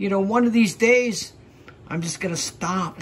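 The delivery moves at a moderate pace. Light background noise sits underneath. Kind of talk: casual vlog chat. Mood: weary, frustrated. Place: bar. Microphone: phone near.

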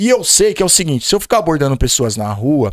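Over a quiet background, a man sounds animated at a fairly high pitch. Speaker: podcast guest. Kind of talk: casual chat. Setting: studio. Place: studio. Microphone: studio mic.

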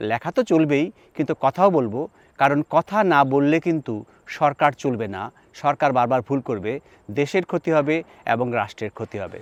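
With an unremarkable speaking voice, a man talks at a fairly high pitch with lively intonation, in a dry, close sound with no echo and a quiet background. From Bangladesh, Chittagong. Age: 60s. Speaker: linguist and professor. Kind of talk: personal monologue to camera.

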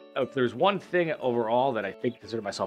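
A man's enthusiastic, very fast delivery with ordinary pitch variation and faint music in the background. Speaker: auctioneer and business owner. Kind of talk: promotional talk to camera about his auction business. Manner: conversational, enthusiastic, with frequent fillers. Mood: enthusiastic, proud. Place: shop. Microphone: lapel.

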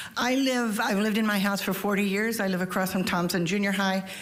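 Noticeable background noise and audible room echo are both present in the recording. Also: woman. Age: 70s. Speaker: public commenter at county meeting. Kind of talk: public comment. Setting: public board meeting.

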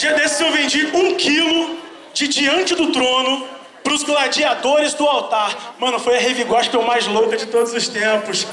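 A man's raised, projected, animated voice at an extremely high pitch, fairly slow pace and ordinary pitch variation, with audible room echo and light background noise. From Brazil, Rio de Janeiro. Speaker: stand-up comedian and voice actor. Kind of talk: stand-up. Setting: stage with audience. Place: stage.

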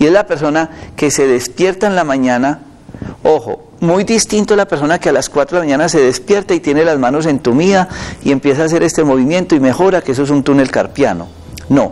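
Talking at a fairly quick pace, a man with a fairly high pitch keeps ordinary pitch variation and very even loudness. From Colombia. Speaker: doctor. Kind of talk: medical advice on live TV. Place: studio. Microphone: lapel.

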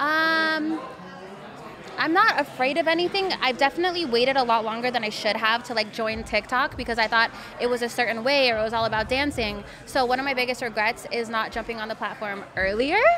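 Faint music plays in the background as a woman speaks at a high pitch and a fairly quick pace, with ordinary pitch variation. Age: 20s. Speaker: adult content creator. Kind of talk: casual chat. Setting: live event. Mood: relaxed, casual. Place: studio. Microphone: studio mic.

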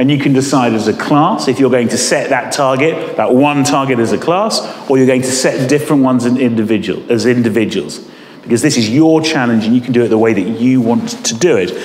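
A man talks at a fairly quick pace with ordinary pitch variation, audible room echo and light background noise. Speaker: deputy head teacher. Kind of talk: school assembly talk. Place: hall. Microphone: camera far.

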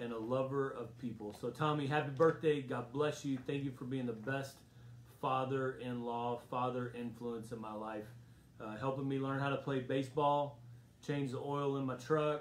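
Light background noise and audible room echo surround this recording. A man speaks at a moderate pace with monotone, flat intonation. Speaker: pastor leading Bible study. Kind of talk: casual address to an online congregation. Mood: warm, celebratory. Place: home room. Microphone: phone near.

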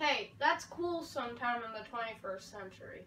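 This is a put-on character voice at a fairly slow pace. Clear background noise runs underneath. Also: female-sounding voice, high pitch for a woman. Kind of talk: amateur comic acting. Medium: short film. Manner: theatrical, comic overacting.

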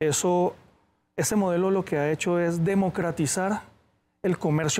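This man has a high-pitched voice. He speaks at a fairly slow pace. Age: 30s. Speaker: e-commerce entrepreneur; guest. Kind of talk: interview. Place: studio. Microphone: lapel.

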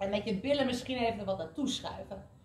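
A woman is speaking. Room echo is audible. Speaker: fitness instructor. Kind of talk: workout instruction. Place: gym.

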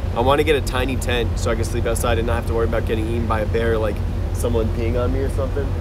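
A man with an American accent speaks at a very fast pace, his loudness very even. Music plays in the background. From US Northeast. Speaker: travel live streamer. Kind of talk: casual live stream chat. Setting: outdoors on a ferry. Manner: animated. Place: boat. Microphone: phone near.

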